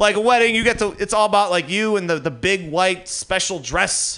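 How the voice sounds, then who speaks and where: A man talks at a moderate pace in a raised, projected voice. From Detroit, US Midwest. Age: 30s. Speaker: stand-up comedian. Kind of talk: stand-up. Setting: stage with audience.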